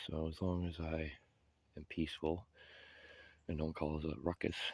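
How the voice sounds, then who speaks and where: A quiet man with a very deep, low pitch, moderate pace and flat, monotone intonation, in a dry, close sound with no echo on a very clean recording with a silent background. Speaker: homeless vlogger. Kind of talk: casual vlog walkthrough. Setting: outdoors in woods. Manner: quiet, low voice.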